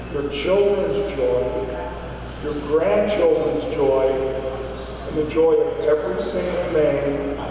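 A man speaks at a fairly slow pace, surrounded by strong room echo and noticeable background noise. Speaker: speaker. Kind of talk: speech. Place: shop.

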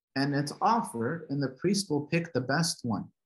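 A man speaks with a fairly high pitch. His voice is somewhat breathy. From Southern California. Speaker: Coptic Orthodox priest; guest. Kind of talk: lecture. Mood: calm, earnest. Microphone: video call.

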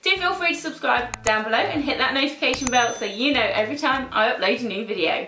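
A woman's raised, projected voice carries audible room echo. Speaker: style vlogger. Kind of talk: casual vlog chat. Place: home room.

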